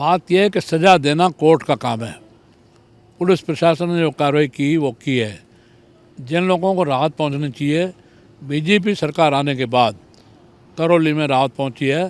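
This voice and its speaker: With long, frequent pauses, a man speaks in a fairly high voice that has ordinary pitch variation. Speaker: politician. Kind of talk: interview.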